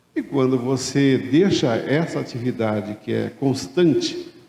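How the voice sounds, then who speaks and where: A man speaks in an ordinary speaking voice at a medium pitch. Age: 60s. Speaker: retired accountant turned café franchise owner. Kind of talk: conference talk.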